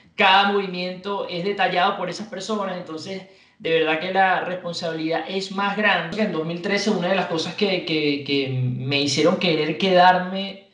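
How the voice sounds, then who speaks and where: With a Venezuelan accent, a man speaks at a moderate pace in a high pitch, barely pausing, his intonation fairly even, with audible room echo around him. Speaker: radio announcer and sports anchor. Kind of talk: interview answer. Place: home room.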